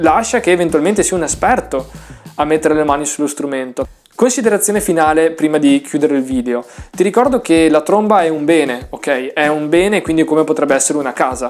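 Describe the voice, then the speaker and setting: Speaking at a fairly quick pace over music in the background, a man with a fairly high pitch shows ordinary pitch variation. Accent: Venetian. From northern Italy, Veneto (Vicenza province). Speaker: trumpet teacher. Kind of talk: tutorial. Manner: casual, hesitant fillers.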